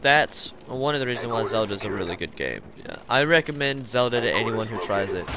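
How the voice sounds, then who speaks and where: A man talks at a medium pitch, his pitch varying in an ordinary way, while noticeable background noise carries on behind him. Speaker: gaming video creator. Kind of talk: casual gameplay commentary. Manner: halting, many fillers.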